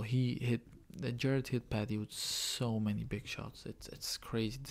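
A quiet man's voice at a moderate pace. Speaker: MMA fan reacting. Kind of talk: casual MMA fight reaction to camera. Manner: quiet, low voice. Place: home room. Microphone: webcam.

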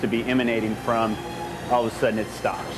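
Music plays behind a man who talks fairly fast. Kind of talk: interview answer. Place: kitchen. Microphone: lapel.

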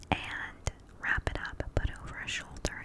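A woman is whispering. She keeps a moderate pace. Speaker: ASMR creator. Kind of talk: soft casual chat. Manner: intimate whisper into close mic. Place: home room. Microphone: studio mic.

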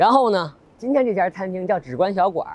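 Recorded with a dry sound and no echo, a man talks at a fairly quick pace. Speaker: food vlogger. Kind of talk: casual vlog chat. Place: street. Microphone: lapel.

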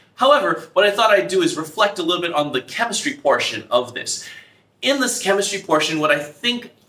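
Lively intonation and a bright, sharp tone carry at a moderate pace through audible room echo. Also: man. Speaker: teacher vlogger. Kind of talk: casual vlog chat. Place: classroom. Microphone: camera far.

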